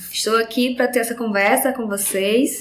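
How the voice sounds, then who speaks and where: Speaking with a northeastern Brazilian accent, a woman uses a high pitch and fairly even intonation. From Northeast Brazil, Rio Grande do Norte. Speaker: pharmacology professor. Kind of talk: educational podcast conversation.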